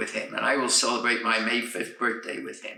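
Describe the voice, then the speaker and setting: A man speaks with audible room echo. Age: 80s+. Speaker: centenarian. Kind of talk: birthday speech.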